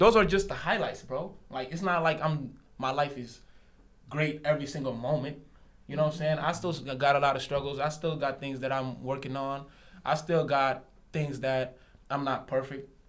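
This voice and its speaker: A man speaks at a moderate pace with a fairly high pitch. The room echo is audible. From Senegal, moved to US around age 10. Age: 20s. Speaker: barber. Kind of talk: casual podcast interview. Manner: animated.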